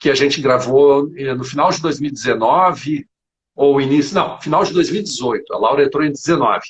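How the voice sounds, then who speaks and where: Somewhat breathy, fairly high male voice at a fairly quick pace with ordinary pitch variation. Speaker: geography teacher. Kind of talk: live interview. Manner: fast.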